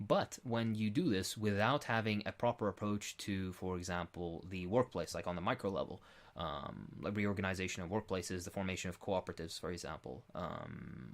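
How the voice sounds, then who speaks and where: Fairly quick speech with an Arabic accent, ordinary pitch variation, and a very clean recording over a silent background. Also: man. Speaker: political commentator being interviewed. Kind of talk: Q&A interview answer. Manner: halting, many fillers.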